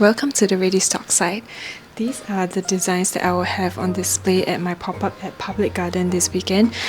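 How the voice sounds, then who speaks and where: A woman is whispering at a moderate pace. Noticeable background noise runs underneath. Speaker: small business owner vlogger. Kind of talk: vlog tutorial walkthrough.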